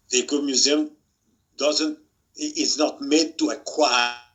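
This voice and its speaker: Speaking at a fairly slow pace, a man talks in a French accent. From France. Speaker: museum expert, author. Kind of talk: webinar talk. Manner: halting, many repetitions.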